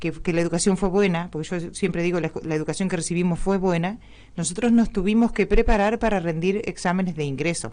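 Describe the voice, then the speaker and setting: Speaking at a very fast pace, a woman with a fairly low pitch has a dark, mellow tone and ordinary pitch variation. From Argentina, Entre Ríos (rural Gualeguay area). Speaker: guest, local teacher. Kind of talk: radio interview.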